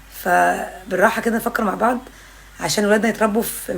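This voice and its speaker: With an Egyptian accent, a woman speaks at a fairly quick pace with ordinary pitch variation over noticeable background noise. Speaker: parenting content creator. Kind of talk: casual vlog monologue. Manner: loud.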